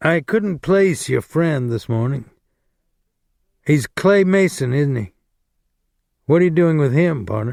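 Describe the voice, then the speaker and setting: Using a put-on character voice, a man speaks at a fairly high pitch and a fairly slow pace, strained, with lively intonation and long, frequent pauses. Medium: read story.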